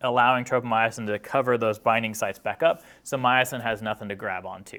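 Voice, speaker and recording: This man's voice sits at a medium pitch with ordinary pitch variation and a bright, sharp tone. The recording is very clean, with a silent background. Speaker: college lecturer. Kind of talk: lecture. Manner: fast.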